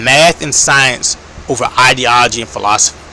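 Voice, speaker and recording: Noticeable background noise sits behind a man talking with an American accent. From United States. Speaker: political commentator. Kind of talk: casual monologue. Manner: hesitant, many fillers.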